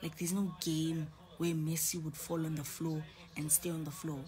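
Faint music plays in the background as a woman speaks in a very deep, low pitch. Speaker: live streamer. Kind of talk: casual live stream chat. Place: home room. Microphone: phone near.

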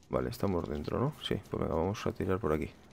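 A man's very deep, low voice with vocal fry at a fairly quick pace, over light background noise. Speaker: video game streamer. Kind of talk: casual live stream commentary.

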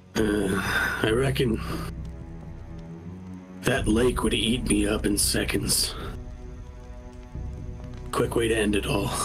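A man's put-on character voice, rumbling and fairly low-pitched, at a very slow pace over background music. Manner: despondent, fatalistic.

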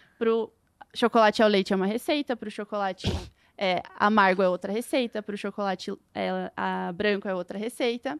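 Speech runs at a fairly quick pace with ordinary pitch variation. The sound is dry with no echo over a quiet background. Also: woman. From Lapa, Paraná, southern Brazil; Paraná, Brazil. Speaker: food industry engineer; guest. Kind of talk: casual interview chat. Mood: friendly, explanatory. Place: studio. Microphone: studio mic.

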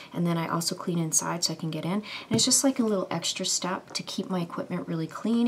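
Quiet and at a fairly quick pace, a woman speaks over light background noise. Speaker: beauty vlogger. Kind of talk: makeup tutorial. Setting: early morning at home.

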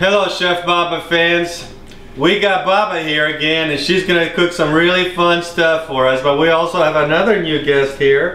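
A high-pitched man at a moderate pace, with audible room echo. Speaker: cooking show host. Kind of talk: comedy cooking show. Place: kitchen. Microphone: camera far.

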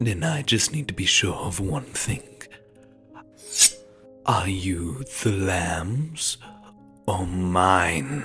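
Over faint music in the background, a man puts on a low-pitched character voice with a fairly bright tone and a husky, rough edge. His intonation is lively, and he goes at a very slow pace with long, frequent pauses.

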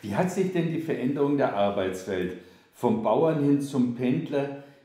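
A man speaks fairly slowly, his voice carrying audible room echo. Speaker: interviewer. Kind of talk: interview question. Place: kitchen.

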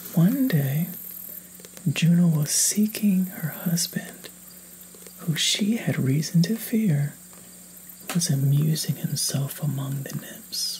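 Speaking at a very slow pace with long, frequent pauses, a man uses a high pitch over light background noise. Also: ordinary pitch variation. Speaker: reader. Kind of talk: storytelling read-aloud.

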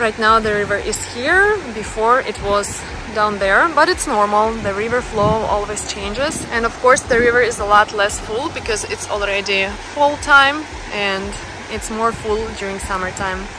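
At a moderate pace and with ordinary pitch variation, a woman is heard in a dry sound with no echo and noticeable background noise. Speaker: travel vlogger. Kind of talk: casual vlog chat. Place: waterside. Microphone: phone near.

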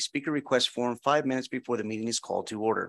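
A man's voice against a quiet background. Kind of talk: reading of meeting rules. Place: hall.

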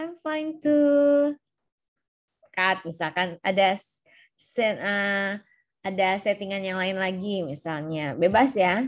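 Over a quiet background, a woman speaks at a very slow pace with very wide pitch swings. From Indonesia. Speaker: university lecturer. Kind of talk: lecture. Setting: video call. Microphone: video call.

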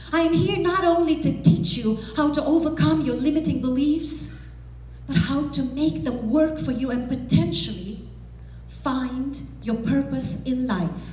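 A woman in a Romanian accent speaks at a fairly slow pace with a high pitch, very wide pitch swings and an animated tone, with audible room echo. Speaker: motivational speaker. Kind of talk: motivational speech. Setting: stage with audience. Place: hall. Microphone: headset.

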